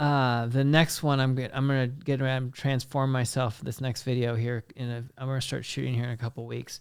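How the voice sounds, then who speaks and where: Monotone and flat, a man with an American accent speaks at a fairly quick pace on a very clean recording with a silent background. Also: medium pitch for a man, hardly any pauses. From US Midwest, western Kansas. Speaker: film director, musician and actor. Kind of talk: casual chat.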